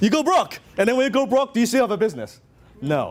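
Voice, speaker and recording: A man with a Hong Kong accent at a very fast pace, with noticeable background noise. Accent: Hong Kong Chinese. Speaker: business coach. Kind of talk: motivational seminar talk. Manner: animated.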